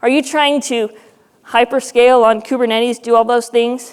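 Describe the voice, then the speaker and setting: Her voice sits at a high pitch, this woman's. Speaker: conference speaker. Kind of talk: conference talk. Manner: fast.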